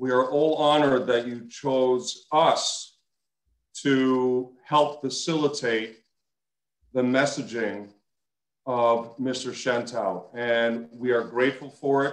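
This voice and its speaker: A man at a very slow pace with fairly even intonation, audible room echo, and a quiet background. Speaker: synagogue president. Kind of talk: formal remarks at an online memorial lecture. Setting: video call. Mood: sincere, grateful. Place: home room. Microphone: video call.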